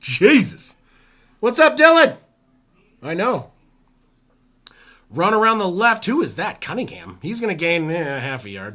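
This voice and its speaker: The voice is raised and projected, bright and sharp in tone, moving at a fairly slow pace with very wide pitch swings, big swings in loudness and long, frequent pauses. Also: man, high pitch for a man. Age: 40s. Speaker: sports streamer doing live play-by-play. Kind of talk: live play-by-play commentary. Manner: animated.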